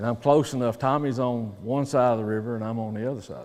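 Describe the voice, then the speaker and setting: The delivery is very fast. It carries a Southern US accent. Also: man. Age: 60s. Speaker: professional angler. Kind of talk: seminar talk. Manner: animated.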